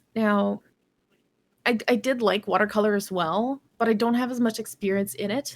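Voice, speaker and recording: Speaking at a moderate pace with a Quebec accent, the voice shows ordinary pitch variation. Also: woman, fairly high pitch for a woman. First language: Canadian French. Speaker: digital artist. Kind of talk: podcast interview.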